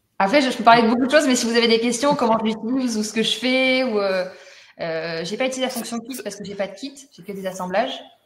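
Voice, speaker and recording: A woman talks at a very fast pace in a fairly high pitch with ordinary pitch variation. Her loudness swings widely, and audible room echo surrounds her. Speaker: honey business owner giving customer testimonial. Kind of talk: testimony in a webinar.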